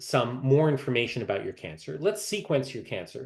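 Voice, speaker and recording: A man's somewhat breathy voice sits at a medium pitch. He talks at a moderate pace. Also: quiet background. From Canada. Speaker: medical oncologist. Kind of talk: lecture. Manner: halting, many fillers.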